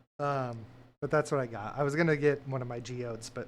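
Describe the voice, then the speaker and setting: Soft-spoken and medium in pitch, this man is heard on a very clean recording with a silent background. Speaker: vtuber streamer. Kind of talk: casual chat. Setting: livestream at desk. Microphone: too quiet.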